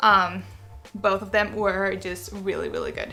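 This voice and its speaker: A woman talks at a moderate pace in a Spanish accent. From Venezuela. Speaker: book YouTuber. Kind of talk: casual chat. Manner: animated; halting.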